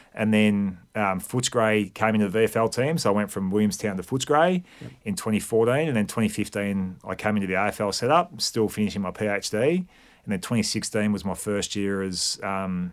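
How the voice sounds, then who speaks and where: With an Australian accent, a man talks at a moderate pace in a fairly low pitch with ordinary pitch variation and hardly any pauses, on a very clean recording with a silent background. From Victoria, Australia. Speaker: high performance manager. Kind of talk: casual chat.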